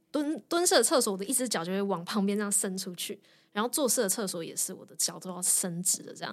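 A woman with a plain, everyday voice speaks fairly quickly at a medium pitch with ordinary pitch variation, on a very clean recording with a silent background. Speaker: designer and yoga teacher, former lawyer. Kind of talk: interview conversation.

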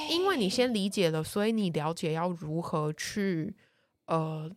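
Her words come at a fairly slow pace, and the speaker is a woman. The recording is very clean, its background silent. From Taiwan. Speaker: travel columnist. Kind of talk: casual chat.

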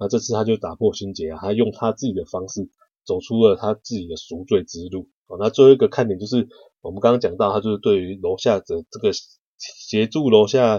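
With a Taiwanese accent, a man talks at a fairly quick pace and a fairly low pitch. His loudness swings widely, while his pitch varies in an ordinary way. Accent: Taiwanese Mandarin. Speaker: podcast host, book reviewer. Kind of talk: book review monologue. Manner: casual with many filler particles.

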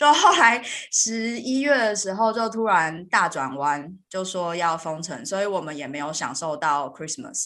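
The voice has a bright, sharp tone and very wide pitch swings, moving at a fairly slow pace with hardly any pauses. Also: woman, medium pitch for a woman, big swings in loudness. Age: 30s. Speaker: podcast host and software engineer. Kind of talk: interview.

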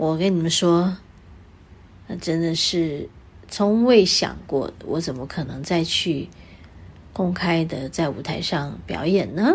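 A woman with a fairly low pitch, very slow pace, long, frequent pauses and ordinary pitch variation. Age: 60s. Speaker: radio host and singer. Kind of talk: casual chat. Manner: animated.

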